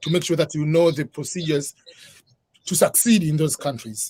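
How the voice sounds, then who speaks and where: A man's fairly high-pitched voice with an East African accent. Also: dry, close sound with no echo. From Tanzania. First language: Swahili. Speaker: author and immigration advisor. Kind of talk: interview on live stream.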